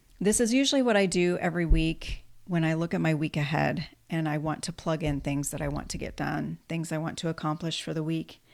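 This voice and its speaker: On a very clean recording with a silent background, a woman speaks at a fairly quick pace in a very deep, low voice. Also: ordinary pitch variation. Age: 50s. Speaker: lifestyle vlogger. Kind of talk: casual vlog monologue. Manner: conversational, frequent fillers.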